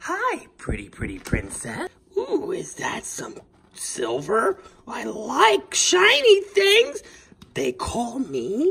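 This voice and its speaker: Pitched high in a put-on character voice, the speech moves at a very slow pace. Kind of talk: comic overacting. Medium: comedy sketch. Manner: gloating, playful, mock-menacing.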